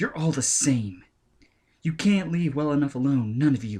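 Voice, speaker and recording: A man's put-on character voice, fairly high in pitch, with lively intonation at a moderate pace. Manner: tight, angry.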